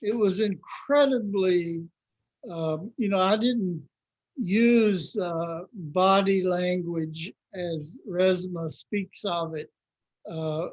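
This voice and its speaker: In a Southern US accent, a man with a high voice talks at a very slow pace, using ordinary pitch variation. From Mississippi, US South. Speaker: anti-racism trainer, minister. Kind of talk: interview answer.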